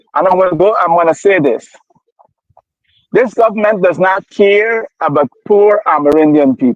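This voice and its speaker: Speaking fairly slowly, a man with a high pitch uses lively intonation. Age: 60s. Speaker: political commentator. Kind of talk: heated debate. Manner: animated.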